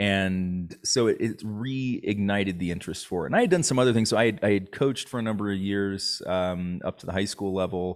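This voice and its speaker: A man with an ordinary speaking voice and a fairly low pitch talks at a fairly quick pace with ordinary pitch variation. The recording is very clean, with a silent background. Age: 40s. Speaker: startup executive and entrepreneur. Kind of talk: casual interview chat.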